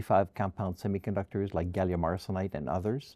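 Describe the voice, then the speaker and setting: This man has a dark, mellow tone, a fairly low pitch, and a Quebec French accent, speaking at a moderate pace. The sound is dry and close with no echo, over a quiet background. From Quebec, Montreal. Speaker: research funding executive. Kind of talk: interview.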